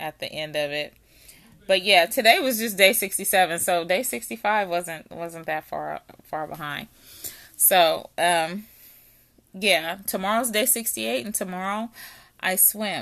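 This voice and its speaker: A woman with a medium pitch speaks at a fairly slow pace, leaving long, frequent pauses, in an animated, bright, sharp tone with vocal fry. Her intonation is lively, her loudness swings widely, and the recording is very clean with a silent background. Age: 40s. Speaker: fitness podcast host. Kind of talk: casual monologue.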